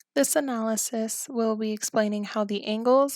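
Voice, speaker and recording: A woman speaks quietly at a fairly quick pace, her fairly high pitch showing ordinary variation. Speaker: college student. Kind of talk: film analysis narration.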